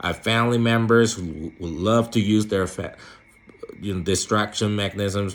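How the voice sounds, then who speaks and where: The speaker is a man with a non-native accent and a fairly low pitch. His intonation is fairly even. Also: moderate pace. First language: not English. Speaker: philosophy vlogger. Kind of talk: casual monologue to camera. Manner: halting, with many fillers and repetitions.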